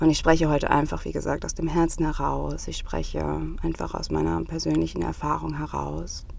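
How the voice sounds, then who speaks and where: A woman talks at a fairly quick pace. Audible room echo and noticeable background noise fill the recording. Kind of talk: personal monologue. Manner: emotional, heartfelt.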